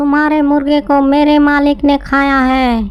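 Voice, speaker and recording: A high-pitched, cartoonish character voice. It moves at a fairly slow pace. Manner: repetitive, parroting.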